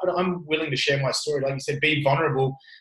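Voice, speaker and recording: Speaking very fast, a man with an Australian accent has a fairly high-pitched voice. His intonation stays fairly even. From Australia, Italian family. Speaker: gym owner. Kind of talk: casual interview chat. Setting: remote call.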